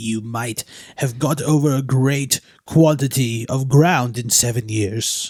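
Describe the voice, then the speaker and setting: A man puts on a shaky character voice at a medium pitch. He speaks at a fairly slow pace with fairly even intonation. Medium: read story. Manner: trembling, deferential.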